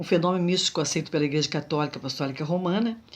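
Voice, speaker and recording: A woman talks in a normal speaking voice at a fairly low pitch with ordinary pitch variation. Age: 60s. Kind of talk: religious testimony monologue.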